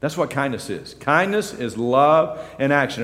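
The speech has lively intonation, and audible room echo can be heard. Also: man. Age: 50s. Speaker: pastor. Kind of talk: sermon.

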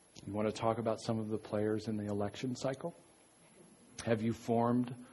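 The man's voice is somewhat breathy. He speaks at a medium pitch. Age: 50s. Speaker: pastor. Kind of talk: sermon. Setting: church. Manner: halting.

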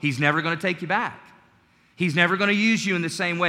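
Over audible room echo, a man with an American accent speaks at a high pitch and a very fast pace. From US South, North Carolina. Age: 40s. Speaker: preacher. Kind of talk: Sunday church sermon, personal testimony and exhortation, closing in prayer. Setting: church service with congregation. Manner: earnest, conversational preaching with frequent stumbles and repeated words; warm, gentle and calm, sincere rather than fiery.

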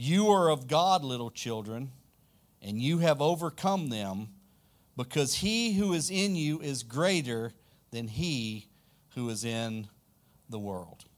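With a Louisiana accent, a man speaks very slowly at a medium pitch, with long, frequent pauses. His pitch swings very widely, and the recording is very clean with a silent background. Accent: Southern US (Louisiana). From South Louisiana, US. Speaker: pastor. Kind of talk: sermon. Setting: church.

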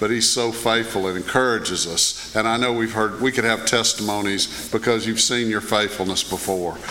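Noticeable background noise under a male speaker with a medium pitch and moderate pace. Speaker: pastor. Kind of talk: prayer and church announcements. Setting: church.

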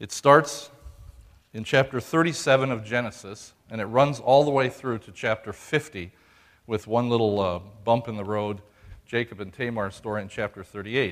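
Here a man talks in a plain, everyday voice at medium pitch with ordinary pitch variation. His pace is moderate, and his loudness swings widely. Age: 60s. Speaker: pastor. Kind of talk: sermon. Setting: church.

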